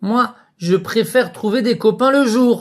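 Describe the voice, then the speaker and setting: In a put-on character voice, the speaker goes at a fairly slow pace with a fairly high pitch. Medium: read story.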